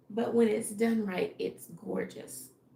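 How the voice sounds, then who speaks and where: Noticeable background noise surrounds a woman's voice. She speaks at a very slow pace. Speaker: fashion designer and livestreamer. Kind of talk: live stream, casual solo talk. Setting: at home alone with dog. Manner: halting, thinking aloud.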